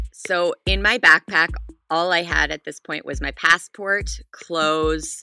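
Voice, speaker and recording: Speaking at a fairly slow pace with big swings in loudness, a woman with a Canadian accent sounds dry and close with no echo, with music in the background. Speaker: storyteller. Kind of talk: personal story told in interview.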